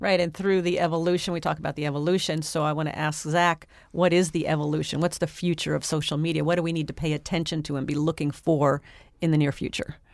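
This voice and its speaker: On a very clean recording with a silent background, a woman talks at a very fast pace in a very deep, low pitch with monotone, flat intonation. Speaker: co-host, entrepreneur. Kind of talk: radio show discussion.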